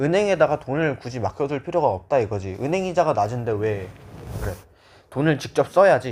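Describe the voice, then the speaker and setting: A man's fairly quick speech at a medium pitch, with very wide pitch swings. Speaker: history tutor. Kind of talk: lecture. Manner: casual, informal.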